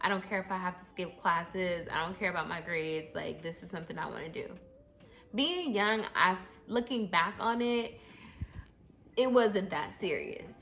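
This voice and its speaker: Over noticeable background noise, a woman speaks at a fairly slow pace with medium pitch and ordinary pitch variation. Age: 30s. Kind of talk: casual story time talk to camera. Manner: casual, conversational, with many fillers.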